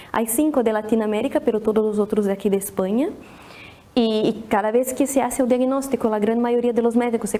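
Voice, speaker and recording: Fairly quick and fairly high-pitched, a woman speaks with a Brazilian accent. Her intonation stays fairly even. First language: Portuguese (speaking Spanish). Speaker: pediatric neurologist. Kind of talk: presentation. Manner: halting, many restarts.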